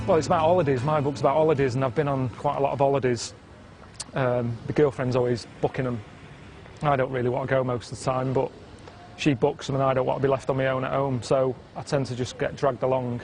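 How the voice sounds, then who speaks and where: Over noticeable background noise, a man speaks at a very fast pace with fairly even intonation. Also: medium pitch for a man. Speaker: travel writer. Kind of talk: casual talk to camera. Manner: drab, deadpan.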